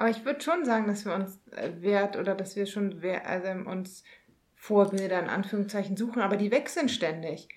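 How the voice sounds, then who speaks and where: A woman talks at a moderate pace and medium pitch. Her pitch varies in an ordinary way. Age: 30s. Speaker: podcast co-host. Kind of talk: casual chat. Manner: halting, many filler sounds.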